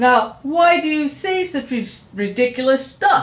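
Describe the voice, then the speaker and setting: Growling and gruff, a put-on character voice with a high pitch moves at a fairly slow pace. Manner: boastful.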